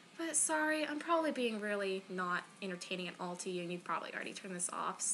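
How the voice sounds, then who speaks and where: A woman talks at a very fast pace in a medium pitch, her voice swinging very widely, with noticeable background noise. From Florida, US. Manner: apologetic, self-deprecating.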